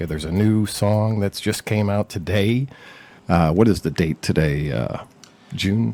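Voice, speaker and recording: In a very clean recording with a silent background, a man with a dark, mellow tone and a fairly low pitch talks at a fairly slow pace with ordinary pitch variation. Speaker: interviewer, media company owner. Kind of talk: interview host, casual.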